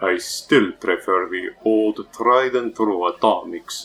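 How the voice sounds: A man puts on a character voice with a fairly bright tone and a fairly low pitch. He speaks at a slow pace with ordinary pitch variation.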